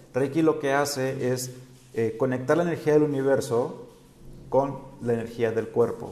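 Audible room echo surrounds a man with a dark, mellow tone. His medium pitch moves in fairly even intonation. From Mexico, Sinaloa. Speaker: spiritual guide and livestream host. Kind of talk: live-streamed spiritual talk. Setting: live stream on social media. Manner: hesitant, many fillers.

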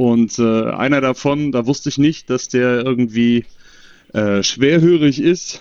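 A man with a medium pitch talks very slowly. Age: 30s. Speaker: podcast guest. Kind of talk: casual chat. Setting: remote call.

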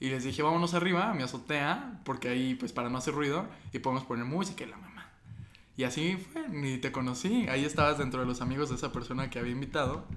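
At a very fast pace, a man with a fairly high-pitched voice speaks with ordinary pitch variation amid audible room echo. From foreign-born, living in Mexico. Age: 20s. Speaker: podcast host. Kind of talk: casual chat.

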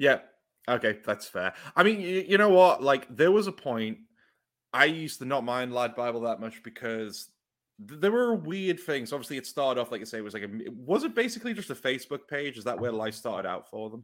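A man talks at a fairly quick pace, his pitch swinging very widely and his loudness rising and falling in big swings. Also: medium pitch for a man, very clean recording, silent background. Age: 20s. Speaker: podcast host. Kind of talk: casual chat.

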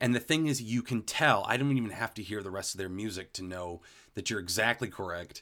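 On a very clean recording with a silent background, a man with a fairly low pitch and a bright, sharp tone talks at a fairly quick pace, animated, with ordinary pitch variation. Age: 30s. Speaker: podcast co-host. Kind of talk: casual chat.

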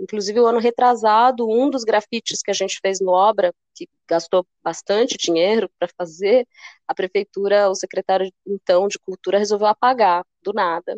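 In a plain, everyday voice, a woman speaks at a medium pitch and moderate pace with fairly even intonation, the sound dry and close with no echo. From São Paulo state, Brazil (São Bernardo do Campo). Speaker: cultural producer and curator. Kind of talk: casual interview chat.

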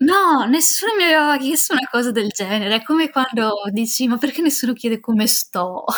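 At a fairly quick pace, a woman with a high voice speaks with lively intonation, very even loudness and hardly any pauses. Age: 20s. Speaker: independent filmmaker and student. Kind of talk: casual interview.

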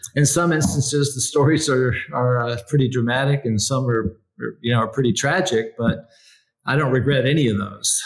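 A man speaks at a moderate pace in a medium-pitched voice. His tone is somewhat breathy, with ordinary pitch variation. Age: 60s. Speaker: executive coach and company founder. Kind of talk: casual interview conversation.

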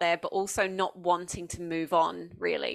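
In a southeast English accent, a woman speaks at a moderate pace. Her pitch is medium, and the recording is very clean with a silent background. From England, Essex. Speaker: education designer and former teacher, podcaster. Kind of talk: interview.

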